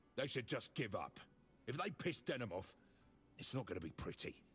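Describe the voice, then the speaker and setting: Putting on a raspy character voice at a medium pitch, a man talks at a fairly quick pace. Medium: video game. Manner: gruff, aggressive.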